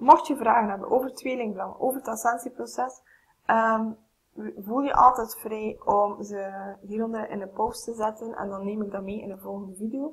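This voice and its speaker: Her voice is fairly high and somewhat breathy, with fairly even intonation. The woman keeps a moderate pace while her loudness swings widely. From Flanders, Belgium. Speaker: spiritual coach and channeler. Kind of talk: spiritual vlog talk to camera. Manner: hesitant, many filler sounds. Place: home room. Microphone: webcam.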